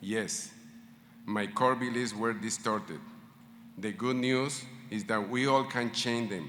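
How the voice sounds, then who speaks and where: Audible room echo surrounds a man with a non-native accent speaking at a fairly slow pace. His medium pitch has ordinary variation. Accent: foreign. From Latin America. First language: not English. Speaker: medical school faculty speaker. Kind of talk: ceremony speech.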